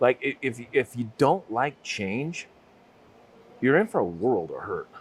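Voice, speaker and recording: A man with an American accent speaks at a fairly slow pace and medium pitch. His voice has vocal fry and very wide pitch swings. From Utah, US. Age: 60s. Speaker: business owner. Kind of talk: interview.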